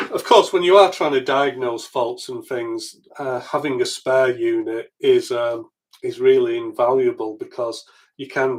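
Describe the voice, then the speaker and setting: A man speaks at a moderate pace in a Yorkshire accent. The recording is very clean, with a silent background. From Yorkshire, northern England. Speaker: electronics repair youtuber. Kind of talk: live stream repair tutorial. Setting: live stream at home workbench. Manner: casual, hesitant with fillers.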